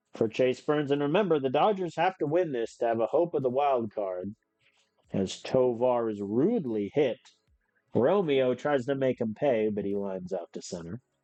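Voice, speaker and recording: Over music in the background, a man at medium pitch speaks at a moderate pace with lively intonation. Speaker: video game streamer. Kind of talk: live gameplay commentary. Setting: live stream. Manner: animated.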